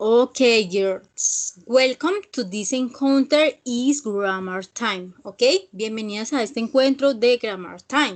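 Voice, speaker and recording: Against a quiet background, a woman with a fairly high pitch and lively intonation speaks at a very slow pace. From Colombia, Villavicencio (Meta). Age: 20s. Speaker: English teacher. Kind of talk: online class. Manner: hesitant, with fillers.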